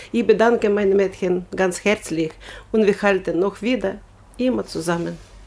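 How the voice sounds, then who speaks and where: A woman's voice sits at a medium pitch as she talks at a moderate speed. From Ukraine. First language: Ukrainian or Russian (speaking German). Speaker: volunteer. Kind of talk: interview. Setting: studio. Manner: animated.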